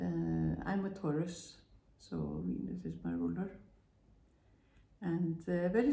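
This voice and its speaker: Amid audible room echo, a woman with a non-native accent speaks at a very slow pace. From Iceland. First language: Icelandic. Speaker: spiritual vlogger. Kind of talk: personal testimony monologue. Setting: at home. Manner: halting, many fillers.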